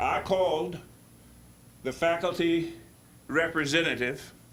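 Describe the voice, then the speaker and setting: Through audible room echo, a man talks at a very slow pace. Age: 80s+. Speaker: public commenter at board meeting. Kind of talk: public comment speech. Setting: board meeting. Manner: animated.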